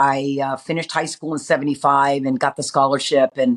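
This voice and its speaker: On a very clean recording with a silent background, a woman with a Californian accent speaks fairly quickly. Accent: Californian American English. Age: 60s. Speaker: former softball coach and player. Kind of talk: interview. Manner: animated.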